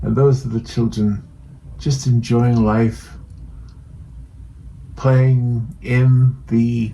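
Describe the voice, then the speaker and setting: A man's medium-pitched voice, gentle, relaxed and somewhat breathy. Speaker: painting channel host. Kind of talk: casual talk to camera, painting demonstration intro.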